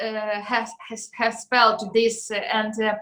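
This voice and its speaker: Her words come out very slowly. This woman's voice sits fairly high. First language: not English. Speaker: singer. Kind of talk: interview. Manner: halting, many fillers.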